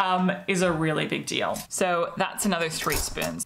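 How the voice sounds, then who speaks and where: With an Australian accent, a woman speaks at a moderate pace with ordinary pitch variation. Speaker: mental health vlogger. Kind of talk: personal explainer video. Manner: casual, conversational.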